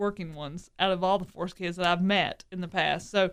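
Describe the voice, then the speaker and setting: A female voice is heard. It stays at a medium pitch. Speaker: motorsports podcast co-host. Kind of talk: casual chat. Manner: stuttering tonight.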